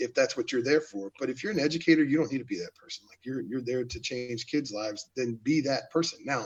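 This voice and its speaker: At a fairly quick pace and with hardly any pauses, a man with an American accent speaks at a medium pitch, with ordinary pitch variation and big swings in loudness. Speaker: teacher and football coach. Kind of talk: casual chat. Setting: live video stream. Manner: casual, slangy.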